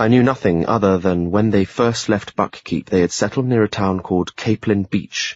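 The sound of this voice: The reading voice here is unforced. Pitch moves with ordinary variation.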